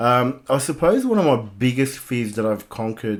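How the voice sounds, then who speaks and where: A man speaks at a fairly slow pace in a very clean recording with a silent background. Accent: Australian. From Southwest Sydney, Australia (migrant as child). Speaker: life coach and gym owner. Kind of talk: podcast interview.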